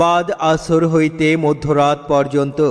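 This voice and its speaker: A man speaks in a fairly high pitch with flat, monotone intonation. Noticeable background noise sits behind him. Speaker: mosque event announcer / voice-over artist for loudspeaker advertising. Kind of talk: loudspeaker (miking) announcement advertising a religious gathering. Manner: loud, projected, declamatory announcement delivery.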